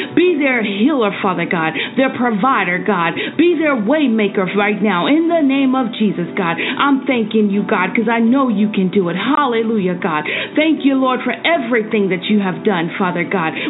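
Music plays behind a woman speaking at a moderate pace in a fairly high pitch. Her tone is intense and her loudness very even. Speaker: prayer leader / devotional host. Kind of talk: fervent prayer. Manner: fervent, rhythmic, repeating 'God' after each phrase, pleading and intense.

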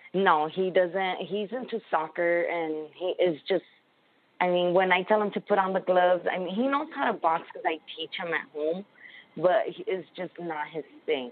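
At a moderate pace, a woman speaks in a medium pitch with ordinary pitch variation. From Los Angeles, US. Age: 20s. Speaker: professional boxer. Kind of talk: interview.

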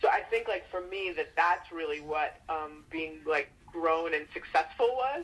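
Fairly low for a woman, an unremarkable speaking voice with an American accent, lively intonation, a fairly slow pace and hardly any pauses. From New York City (Queens). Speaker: foundation executive director and activist. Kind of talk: interview. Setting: radio show.

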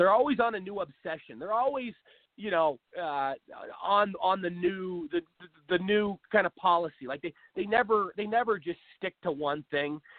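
Lively intonation marks this voice with an American accent. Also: man. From US Pacific Northwest, Seattle. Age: 20s. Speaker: political talk show host. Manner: animated, rambling.

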